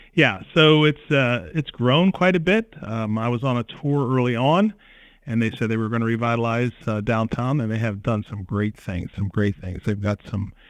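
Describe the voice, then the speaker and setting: A man with an American accent speaks at a moderate pace. His pitch sits in the middle for a man, and his intonation is lively. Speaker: chamber of commerce director. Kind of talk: interview. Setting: podcast interview.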